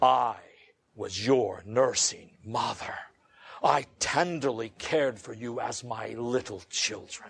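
A raspy, put-on character voice from a man, medium in pitch and fairly slow in pace. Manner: exaggeratedly masculine.

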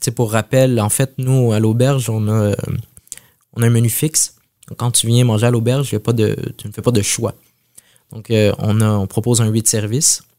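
With long, frequent pauses, a man speaks at a medium pitch in a dark, mellow tone and monotone, flat intonation. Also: moderate pace. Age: 30s. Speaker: chef. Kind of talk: interview. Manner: halting.

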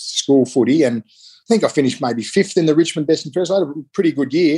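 With an Australian accent, a man speaks in a dark, mellow tone, the sound dry and close with no echo. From eastern Melbourne, Australia. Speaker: retired Australian rules footballer. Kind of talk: casual interview.

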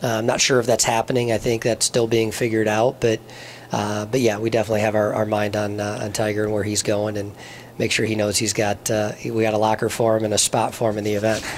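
Over noticeable background noise, a man with an American accent talks very fast at a fairly low pitch in a monotone, flat intonation. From southern Michigan, US. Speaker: golf tournament executive. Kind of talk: interview. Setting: golf club.

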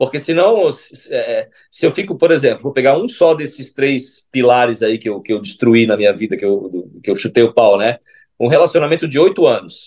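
With hardly any pauses, a man speaks at a moderate pace in a fairly high pitch that makes very wide swings. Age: 40s. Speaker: holistic therapist and speaker. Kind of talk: casual interview chat.

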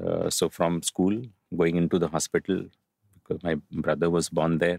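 An Indian accent comes through in a very clean, dry, close recording with a silent background and no echo. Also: man. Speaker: author, poet and professor. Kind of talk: interview. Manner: reflective, uses filler words.

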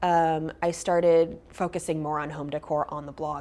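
At a fairly slow pace, a woman with a normal speaking voice talks in a fairly low pitch with fairly even intonation. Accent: American. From US West Coast, Berkeley, California. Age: 30s. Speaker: designer and author. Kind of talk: interview.

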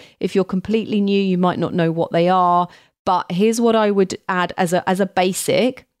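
Delivered at a moderate pace in a monotone, flat intonation, the voice holds a very even loudness with a dry, close sound with no echo on a very clean recording over a silent background. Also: woman, medium pitch for a woman. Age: 50s. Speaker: perfumer and podcast host. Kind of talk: solo educational podcast.

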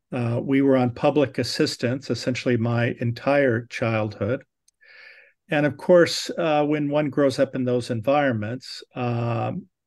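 A man with an American accent and a normal speaking voice talks fairly slowly at a medium pitch, his intonation fairly even. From Southern California. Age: 60s. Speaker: neurosurgeon and professor. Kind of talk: interview.

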